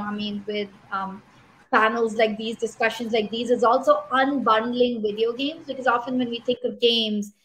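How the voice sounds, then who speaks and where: In a Pashto accent, a woman speaks at a moderate pace with a fairly high pitch. Her intonation stays fairly even. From Pakistan. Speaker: panel moderator, tech startup founder. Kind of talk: online panel discussion.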